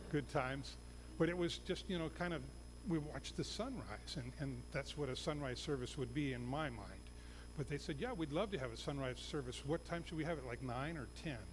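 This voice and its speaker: The recording has audible room echo. In it, a man talks fairly quickly. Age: 60s. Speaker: missionary pastor. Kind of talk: sermon. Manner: halting.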